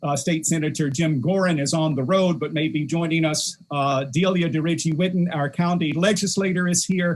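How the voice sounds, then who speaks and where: In an American accent, a normal speaking voice moves at a moderate pace with hardly any pauses, very even loudness and fairly even intonation. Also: man, fairly high pitch for a man. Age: 60s. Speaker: politician. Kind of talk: event hosting. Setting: video call.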